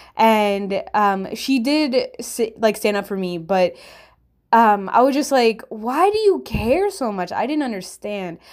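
A woman talks at a fairly slow pace in a fairly high pitch, her intonation lively and her tone animated. The recording is very clean, with a silent background. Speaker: podcast host. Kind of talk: casual storytelling monologue. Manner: animated, casual.

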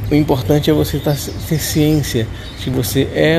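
A man is speaking amid noticeable background noise. His voice carries audible room echo. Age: 40s. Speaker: podcast host living with Parkinson's disease. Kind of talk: personal testimony and advice monologue. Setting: outdoors. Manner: halting, with repetitions.

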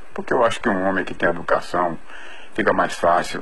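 Very deep, low pitch from a man, ordinary pitch variation, and audible room echo. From interior Bahia, Brazil (Ourolândia/Jacobina). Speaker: doctor giving testimony. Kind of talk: recorded testimony.

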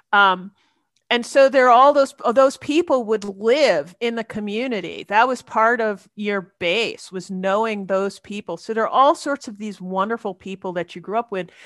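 A woman with an American accent and a normal speaking voice talks at a moderate pace, her fairly high pitch showing ordinary variation and her loudness swinging widely, recorded dry and close with no echo over a quiet background. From Queens, New York. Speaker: university administrator and professor. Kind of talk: casual interview conversation.

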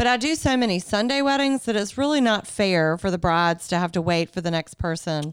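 With a Southern US accent, a woman talks at a fairly quick pace, her pitch swinging very widely while her loudness stays very even. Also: medium pitch for a woman, hardly any pauses. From US South, Greenville, South Carolina. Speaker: wedding venue owner. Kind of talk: casual chat.

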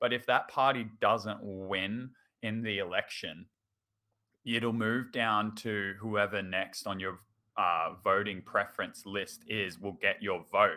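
Using an Australian accent, a man speaks at a very slow pace with a fairly low pitch and fairly even intonation. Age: 20s. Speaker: teacher. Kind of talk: casual chat.

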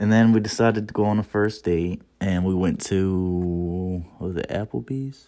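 Hardly pausing, a man speaks at a moderate pace in a very deep, low voice with a dark, mellow tone and ordinary pitch variation. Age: 20s. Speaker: podcast co-host. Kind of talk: casual chat.

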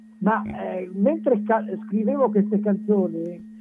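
At a fairly slow pace, a man speaks with lively intonation. Noticeable background noise is present. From Romagna, Italy. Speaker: singer-songwriter. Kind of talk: casual radio interview.

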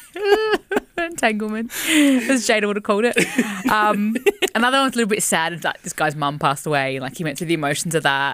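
Speaking very fast in an animated tone, a woman at medium pitch swings very widely up and down. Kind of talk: casual radio banter, joking and teasing between co-hosts. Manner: animated, jokey and laughing, quick with teasing and storytelling.

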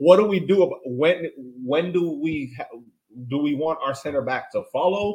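Fairly high in pitch, this man's voice is also somewhat breathy. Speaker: soccer podcast co-host. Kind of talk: casual chat.

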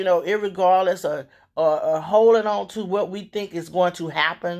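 An animated woman's voice with a Southern US accent, lively intonation and a moderate pace, in a very clean recording over a silent background. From Louisiana. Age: 50s. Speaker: radio host. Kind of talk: casual monologue.

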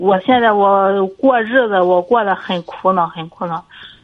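At a very slow pace, a woman speaks. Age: 30s. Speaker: caller. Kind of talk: call-in advice conversation. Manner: halting.

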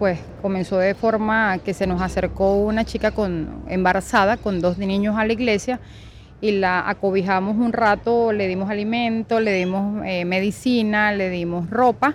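With an ordinary speaking voice, a woman talks at a medium pitch and with fairly even intonation. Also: fairly slow pace. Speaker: church volunteer. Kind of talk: interview testimony.

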